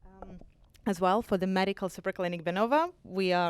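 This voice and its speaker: In a very clean recording with a silent background, a woman with a Ukrainian accent speaks at a fairly low pitch. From Ukraine. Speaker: medical clinic representative. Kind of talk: business pitch.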